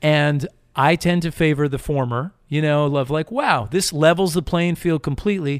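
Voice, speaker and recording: A man speaks in a normal speaking voice, fairly high-pitched, at a moderate pace with ordinary pitch variation. The recording is very clean with a silent background and a dry, close sound with no echo. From US Northeast (Connecticut). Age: 40s. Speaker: author. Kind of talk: casual chat.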